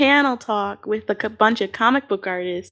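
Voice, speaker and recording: An ordinary speaking voice from a woman, fairly high with ordinary pitch variation, at a moderate pace on a very clean recording with a silent background. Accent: American. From Chicago. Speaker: podcast co-host and editor. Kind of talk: interview.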